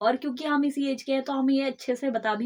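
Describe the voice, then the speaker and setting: Her intonation is fairly even. The woman keeps a moderate pace. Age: 20s. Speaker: podcast co-host. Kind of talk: casual chat.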